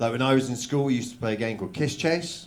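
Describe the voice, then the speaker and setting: A man's medium-pitched voice, fairly quick, with a southern English accent and ordinary pitch variation, amid noticeable background noise and audible room echo. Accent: southern English, noticed in Manchester. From southern England, Oxford. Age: 30s. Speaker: stand-up comedian. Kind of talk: stand-up. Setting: stage with audience.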